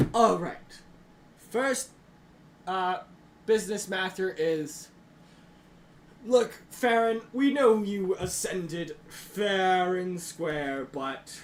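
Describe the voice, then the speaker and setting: Using a put-on character voice, a man speaks very slowly at a high pitch, with long, frequent pauses. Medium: actual play. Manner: pompous, exasperated.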